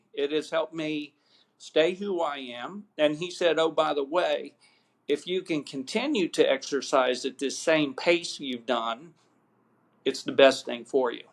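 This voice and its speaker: An unremarkable speaking voice from a man, pitched fairly high with ordinary variation. He talks at a fairly slow pace. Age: 60s. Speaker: marketing agency owner, cancer patient. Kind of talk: interview testimony.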